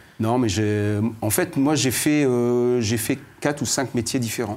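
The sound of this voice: At a fairly slow pace, a man speaks in a medium pitch with a slightly mellow tone and ordinary pitch variation.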